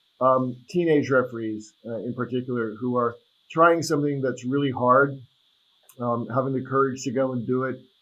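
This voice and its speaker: At a moderate pace, a man with an American accent speaks at medium pitch in an unremarkable speaking voice. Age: 60s. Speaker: attorney and soccer referee. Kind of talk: podcast interview. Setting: video call.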